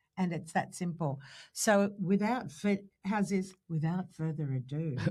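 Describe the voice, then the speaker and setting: In an Australian accent, a woman speaks at a fairly slow pace and a fairly low pitch, with ordinary pitch variation. Her tone is dark and mellow, and somewhat breathy. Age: 60s. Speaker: podcast co-host. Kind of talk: casual chat. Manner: animated.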